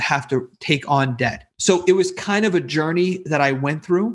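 A man's plain, everyday voice at a fairly slow pace, with ordinary pitch variation. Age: 40s. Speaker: real estate investor and business coach. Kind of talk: interview.

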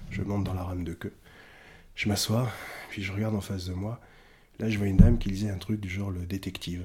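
A man speaks very fast in a very deep, low voice, with flat, monotone intonation, a dark, mellow tone and a somewhat breathy quality. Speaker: kung fu teacher and China specialist. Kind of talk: casual interview.

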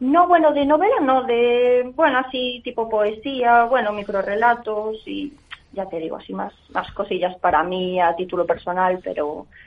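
Noticeable background noise sits behind a woman talking at a fairly slow pace. Her fairly high voice has lively intonation. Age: 20s. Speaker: writing contest winner. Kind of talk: radio interview. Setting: phone call.

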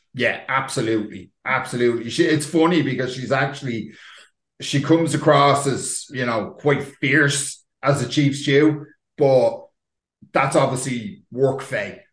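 Somewhat breathy, a man speaks in a fairly high voice with fairly even intonation. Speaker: podcast host and editor. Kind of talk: casual chat.

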